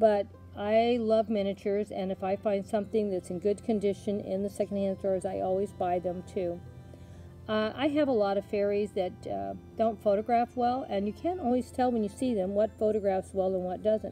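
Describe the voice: A woman at medium pitch with a dark, mellow tone, fairly even intonation and a moderate pace, faint music in the background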